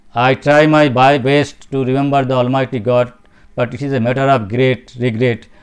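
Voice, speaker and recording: With a monotone, flat intonation, a man speaks at a moderate pace and medium pitch. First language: Bengali. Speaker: spiritual speaker. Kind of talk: religious talk. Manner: halting.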